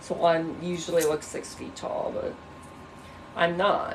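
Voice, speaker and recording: Noticeable noise sits behind a woman's voice. Room echo can be heard as well. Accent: American. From Illinois. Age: 30s. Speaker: livestreamer. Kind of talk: casual livestream chat. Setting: bedroom livestream. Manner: animated.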